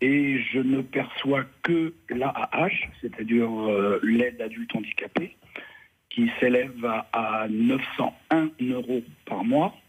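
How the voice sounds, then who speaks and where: A man with a medium-pitched voice talks at a very slow pace. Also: ordinary pitch variation. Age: 60s. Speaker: caller. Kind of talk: radio call-in question. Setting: phone call. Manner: halting.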